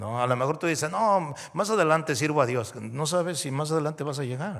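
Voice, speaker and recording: On a very clean recording with a silent background, a man with a plain, everyday voice speaks in a fairly high pitch with lively intonation. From Mexico. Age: 60s. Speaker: pastor. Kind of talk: sermon.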